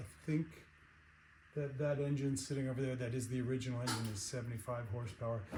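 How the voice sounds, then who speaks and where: The man's voice is somewhat breathy, with a dark, mellow tone, medium pitch and ordinary pitch variation. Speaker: car restoration hobbyist. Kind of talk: casual chat. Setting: workshop. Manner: soft-spoken; halting.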